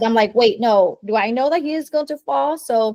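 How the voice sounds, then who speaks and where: Lively intonation in a Vietnamese accent at a moderate pace, with a dry, close sound with no echo. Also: woman. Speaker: performance coach. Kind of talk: interview. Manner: halting, many fillers.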